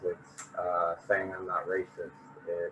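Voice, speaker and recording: A man with an American accent talks at a very slow pace against noticeable background noise. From US, small town. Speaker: panelist. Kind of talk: panel discussion.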